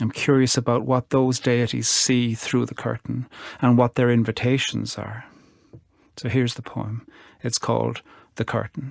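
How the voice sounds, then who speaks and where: On a very clean recording with a silent background, a man with an Irish accent speaks at a moderate pace and medium pitch in a flat monotone, with long, frequent pauses. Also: dry, close sound with no echo. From Ireland. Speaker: poet. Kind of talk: talk about art; poetry reading.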